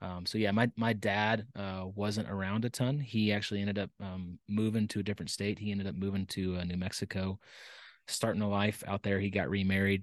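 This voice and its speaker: A man with an American accent, fairly low in pitch, at a fairly quick pace with monotone, flat intonation, against a quiet background. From Texas, Dallas. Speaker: retired navy pilot and business founder. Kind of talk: interview conversation. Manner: hesitant with frequent fillers.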